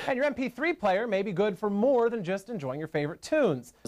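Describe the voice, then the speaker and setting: A man talks at a fairly quick pace, his pitch high and swinging very widely. Noticeable background noise sits behind him. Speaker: TV news reporter and anchor. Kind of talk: TV news package voiceover, scripted anchor-style delivery.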